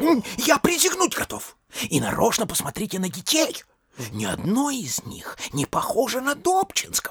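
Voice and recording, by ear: A man's put-on character voice, extremely high with very wide pitch swings, a slightly husky edge, a fairly bright tone and a moderate pace.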